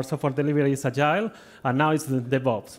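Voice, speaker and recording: A man with a Spanish accent, fairly high in pitch, with fairly even intonation. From Spain. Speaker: agile delivery consultant, conference speaker. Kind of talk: conference talk. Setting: stage with audience.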